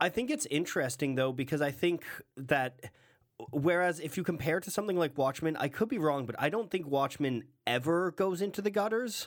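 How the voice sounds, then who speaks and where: Using an unremarkable speaking voice, a man with a fairly high pitch talks at a fairly quick pace with lively intonation. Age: 20s. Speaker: podcast co-host. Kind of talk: casual chat.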